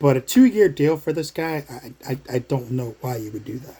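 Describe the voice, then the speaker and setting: Somewhat breathy, a man talks at a moderate pace in a fairly high voice. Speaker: sports and wrestling vlogger. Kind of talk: casual vlog commentary. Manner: hesitant, many fillers.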